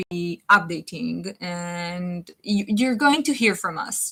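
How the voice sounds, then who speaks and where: Bright, sharp tone from a woman with a non-native accent, ordinary pitch variation, a fairly slow pace, and a very clean recording with a silent background. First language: not English. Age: 20s. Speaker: web series creator. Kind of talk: live stream chat answering viewer questions. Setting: live stream. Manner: halting.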